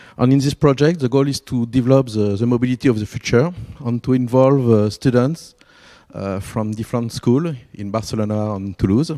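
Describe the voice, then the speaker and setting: A man in a French accent, dark, mellow tone, fairly quick pace and ordinary pitch variation. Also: medium pitch for a man. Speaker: event organizer. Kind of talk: event introduction. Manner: halting.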